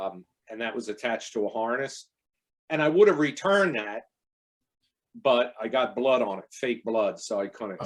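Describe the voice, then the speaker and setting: Speaking at a moderate pace with a New Jersey accent, a man uses lively intonation and takes long, frequent pauses. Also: medium pitch for a man. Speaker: interview guest, independent filmmaker.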